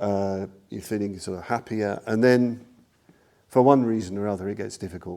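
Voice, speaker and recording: With ordinary pitch variation, a man speaks at a moderate pace in a fairly low pitch. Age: 60s. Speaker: Buddhist teacher. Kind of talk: dharma talk. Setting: class with live audience. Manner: halting.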